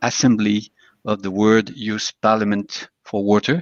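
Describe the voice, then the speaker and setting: In a French accent, a man speaks at a fairly slow pace and a medium pitch. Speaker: water agency director. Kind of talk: formal speech. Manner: halting.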